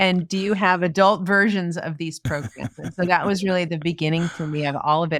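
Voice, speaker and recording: A woman with an American accent, fairly low-pitched, with ordinary pitch variation, on a very clean recording with a silent background. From New York City. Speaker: keynote speaker. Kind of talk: interview. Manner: fast.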